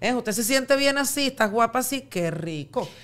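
A woman with a Venezuelan accent at a moderate pace, her pitch swinging very widely. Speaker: radio and TV presenter, podcaster; radio, TV presenter, podcaster. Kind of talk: casual chat. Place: studio. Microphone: studio mic.

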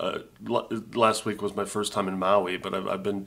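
The man speaks at a fairly low pitch. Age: 50s. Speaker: video blogger. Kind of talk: casual vlog monologue. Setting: condo on vacation. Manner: halting, repeats words. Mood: wistful, reflective, bemused. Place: home room. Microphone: webcam.

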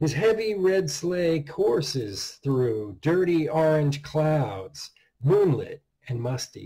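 A man with a dark, mellow tone, lively intonation and a very slow pace over a quiet background. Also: fairly high pitch for a man. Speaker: horror author reading his own story. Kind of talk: dark Christmas horror story narration. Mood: dark, measured narration. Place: home room. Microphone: webcam.

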